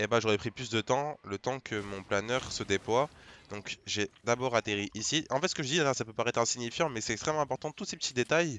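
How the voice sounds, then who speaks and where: Fairly quick delivery from a man, medium-pitched, with ordinary pitch variation. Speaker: gaming youtuber. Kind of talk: gameplay tutorial. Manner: fast; hesitant, many fillers.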